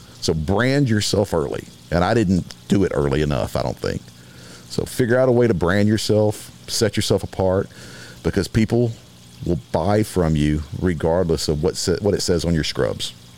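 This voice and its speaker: Over noticeable background noise, a man with an American accent speaks in a very deep, low pitch with lively intonation and very even loudness. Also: moderate pace. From Texas (Beaumont). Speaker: medical device surgical consultant. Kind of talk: casual chat.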